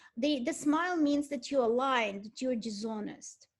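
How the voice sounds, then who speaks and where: Speaking with a Russian accent, a woman uses ordinary pitch variation. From Ukraine (Kyiv), Soviet Union. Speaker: art history lecturer. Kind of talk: lecture. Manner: halting, many repetitions.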